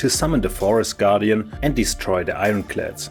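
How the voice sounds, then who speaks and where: Music runs in the background as a man speaks at a moderate pace. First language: German. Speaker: board game tutorial creator. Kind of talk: board game rules tutorial.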